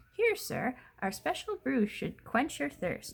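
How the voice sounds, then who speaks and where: A woman puts on a character voice pitched high. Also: fairly slow pace. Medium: read story.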